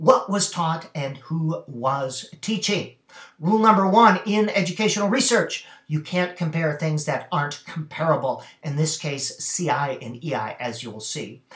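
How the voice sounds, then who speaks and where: A man speaks at a fairly slow pace. There is audible room echo over a quiet background. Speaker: reading specialist reviewing a study. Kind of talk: lecture. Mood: critical, measured. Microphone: webcam.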